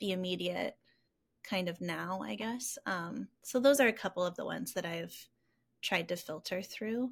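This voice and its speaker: On a very clean recording with a silent background, a woman with an American accent and medium pitch speaks at a moderate pace, somewhat breathy, with lively intonation. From Rockford, Illinois, US Midwest. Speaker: entrepreneur and designer. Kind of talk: casual interview chat.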